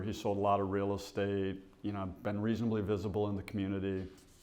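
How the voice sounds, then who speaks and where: A man's fairly low-pitched voice comes through with audible room echo. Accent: American. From Michigan, US (Bay City). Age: 60s. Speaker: realtor. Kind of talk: testimony.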